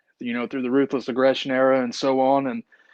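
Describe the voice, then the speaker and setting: The voice belongs to a man with a strong Appalachian accent. His pitch is medium. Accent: thick Appalachian hillbilly. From eastern Kentucky, Appalachian mountains. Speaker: independent wrestler. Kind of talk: podcast interview.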